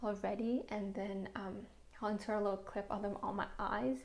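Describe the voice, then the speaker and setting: There is noticeable noise in the background. Through it, a woman speaks. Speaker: beauty youtuber. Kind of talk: product review vlog. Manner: fast.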